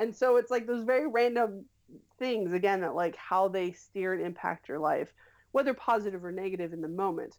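Speaking at a fairly quick pace in an unremarkable speaking voice, a woman of medium pitch shows ordinary pitch variation over a very clean recording with a silent background. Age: 30s. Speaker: web series creator and writer. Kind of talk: casual interview.

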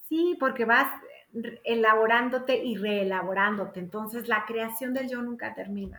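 In a room with audible echo, a woman speaks at a fairly high pitch. Her pace is fairly slow. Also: ordinary pitch variation. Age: 50s. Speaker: gestalt psychotherapist. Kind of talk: casual interview chat.

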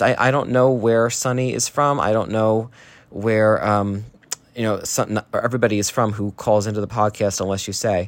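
A man talks in a plain, everyday voice at a medium pitch. His pace is moderate. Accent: American. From New Jersey, US. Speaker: listener sending voice memo. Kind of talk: recorded voice message.

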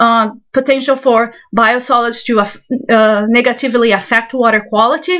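At a fairly slow pace, a woman speaks in a high voice with a bright, sharp tone. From Brazil. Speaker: soil scientist. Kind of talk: interview.

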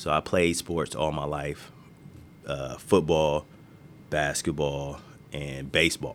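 Very slowly and with long, frequent pauses, a man with an American accent speaks at a very deep, low pitch in a monotone, flat intonation, with vocal fry. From Marin City, California (San Francisco Bay Area). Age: 40s. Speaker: youth basketball coach and nonprofit founder. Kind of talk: interview.

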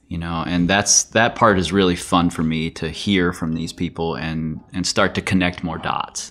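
A man speaks at a very deep, low pitch in a monotone, flat intonation with hardly any pauses. Noticeable background noise sits behind him. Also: moderate pace. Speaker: podcast host for a climbing gym. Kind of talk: casual chat. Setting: studio.

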